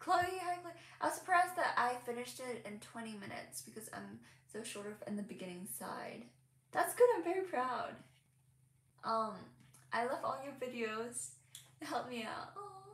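A woman with a high pitch and very wide pitch swings talks at a moderate pace, her loudness rising and falling sharply between long, frequent pauses, with audible room echo. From Hong Kong. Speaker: crochet content creator. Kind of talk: casual livestream chat. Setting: home livestream. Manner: animated. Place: home room. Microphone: phone near.

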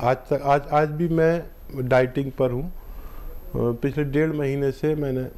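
A man speaks very slowly in a dark, mellow tone. His pitch is fairly high, and his intonation is monotone and flat. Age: old. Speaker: unani healer; guest. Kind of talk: call-in health advice. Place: studio. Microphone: lapel.

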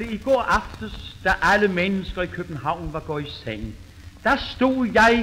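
A man talks with lively intonation. Noticeable background noise can be heard throughout. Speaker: comedian. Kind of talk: comic monologue. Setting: old gramophone recording.

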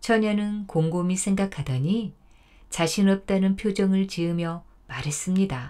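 Medium in pitch with a dark, mellow tone, a woman speaks with ordinary pitch variation. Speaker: storyteller. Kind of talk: folk tale narration.

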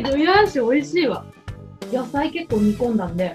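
A woman talks at a fairly quick pace with very wide pitch swings. Faint music plays in the background. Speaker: voice actor. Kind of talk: casual web radio variety talk. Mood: delighted, enthusiastic. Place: home room.

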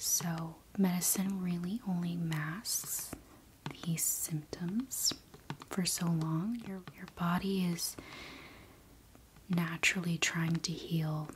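Soft-spoken and at a very slow pace, the speaker keeps a fairly even intonation. Long, frequent pauses break up the speech over light background noise. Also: woman, fairly low pitch for a woman. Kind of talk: soft personal-attention role-play chat. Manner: soft-spoken, hushed ASMR voice. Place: home room.

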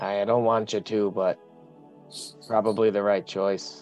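A gruff, put-on character voice moves at a fairly slow pace over clear music in the background. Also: man, fairly low pitch for a man. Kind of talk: tabletop roleplay in character. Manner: gruff, blunt, says "aye".

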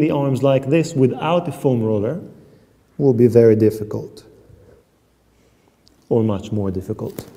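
Speaking at a fairly slow pace, a man has a dark, mellow tone and lively intonation. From Israel. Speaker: Pilates teacher. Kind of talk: exercise demonstration. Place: gym.

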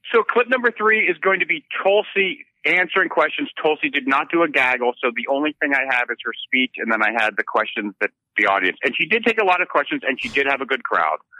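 Very fast and with hardly any pauses, a man talks in a fairly high voice. His pitch swings very widely. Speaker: political field reporter. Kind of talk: casual chat. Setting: remote call.

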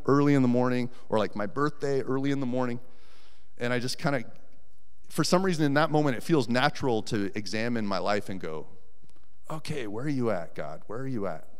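A man speaks with an American accent and lively intonation. His pace is fairly quick against a quiet background. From Colorado. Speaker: volunteer preacher. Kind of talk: sermon. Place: church. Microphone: handheld.

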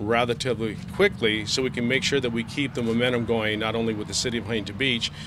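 A man talks at a very fast pace with fairly even intonation. Noticeable background noise can be heard. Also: dry sound with no echo. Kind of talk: interview answer. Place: street.

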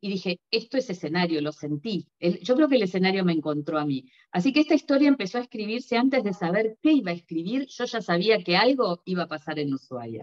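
A woman's very wide pitch swings at a fairly quick pace, hardly any pauses, over a quiet background. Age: 50s. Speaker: novelist; interviewee. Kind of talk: interview; interview answer. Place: home room. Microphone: video call.

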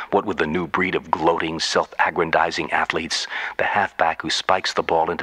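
Noticeable background noise accompanies speech delivered fairly quickly. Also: man. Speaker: radio storyteller. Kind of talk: radio monologue.

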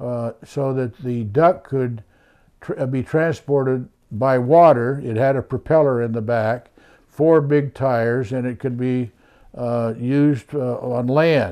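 Over a quiet background, a man speaks at a fairly slow pace in a dark, mellow tone with ordinary pitch variation. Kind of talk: interview answer. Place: office.

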